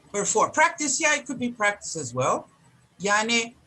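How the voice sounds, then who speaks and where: In a Turkish accent, a woman at a medium pitch speaks with very wide pitch swings. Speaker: professor. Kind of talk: lecture.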